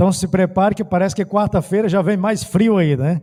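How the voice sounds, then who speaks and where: A man with a northeastern Brazilian accent speaks at a high pitch in a dark, mellow tone. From Brazil, Ceará. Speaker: pastor. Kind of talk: sermon. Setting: church.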